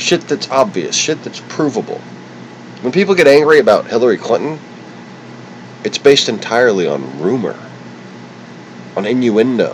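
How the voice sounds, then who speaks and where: A man talks at a moderate pace with very wide pitch swings and long, frequent pauses, over noticeable background noise. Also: medium pitch for a man. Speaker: political livestreamer. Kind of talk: angry political rant. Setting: livestream on camera. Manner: stuttering.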